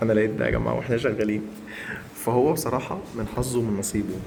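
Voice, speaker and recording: The voice has fairly even intonation, with audible room echo and noticeable background noise. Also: man. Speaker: house cleaner, vlogger. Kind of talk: casual vlog. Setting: apartment being cleaned. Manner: lowered voice, quiet.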